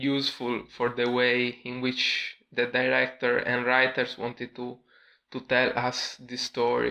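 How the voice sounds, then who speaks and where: At a fairly slow pace, a man speaks at a medium pitch with a bright, sharp tone. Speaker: YouTube film reviewer. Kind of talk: casual talk to camera. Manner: monotone.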